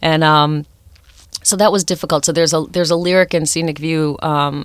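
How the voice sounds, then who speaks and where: A woman's very deep, low voice in a flat monotone, fairly quick, with a dry, close sound and no echo. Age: 40s. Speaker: songwriter and music professor. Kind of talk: interview. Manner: halting, many fillers.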